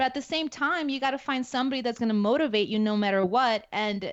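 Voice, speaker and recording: A woman speaks in a Spanish accent at a fairly quick pace. Her pitch is fairly high and varies in an ordinary way. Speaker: active duty security forces NCO. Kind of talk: casual interview conversation.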